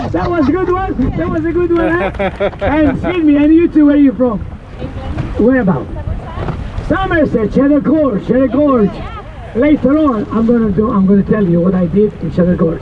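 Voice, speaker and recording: At a moderate pace, a man with an extremely high pitch swings very widely in pitch, leaving long, frequent pauses, over noticeable background noise. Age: 70s. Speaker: boat tour guide. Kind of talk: tour guiding. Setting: outdoors on a boat. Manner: animated; loud.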